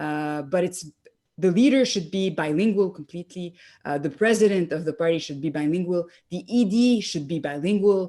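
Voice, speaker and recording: In a very clean recording with a silent background, a woman with a French accent speaks at a fairly quick pace in a fairly low pitch and a dark, mellow tone, with ordinary pitch variation and big swings in loudness. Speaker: political leadership candidate. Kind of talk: interview. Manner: halting, many fillers.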